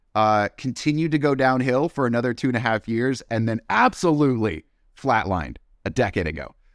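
A man with an unremarkable speaking voice talks at a fairly quick pace, medium in pitch, with lively intonation. The recording is very clean with a silent background and a dry, close sound with no echo. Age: 40s. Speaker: head of marketing, former military service member. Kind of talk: casual interview.

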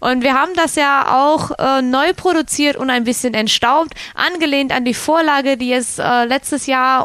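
A woman speaks at a high pitch with ordinary pitch variation, and noticeable background noise runs underneath. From Cologne, Germany. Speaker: radio co-host, resort entertainment staff. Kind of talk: casual radio chat.

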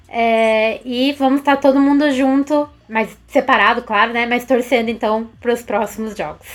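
Delivery stays at moderate speed, the intonation fairly even throughout. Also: woman, high pitch for a woman. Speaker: co-host, communications team member.

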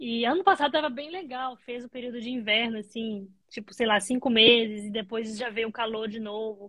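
In a Brazilian accent, the speaker talks at a fairly quick pace with hardly any pauses, a bright, sharp tone, ordinary pitch variation and big swings in loudness. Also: woman, fairly high pitch for a woman. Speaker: nurse. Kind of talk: casual interview.

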